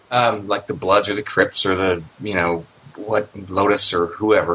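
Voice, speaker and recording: Over noticeable background noise, a man with a Canadian accent talks at a moderate pace. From Canada. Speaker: former neo-Nazi, podcast listener. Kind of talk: casual interview.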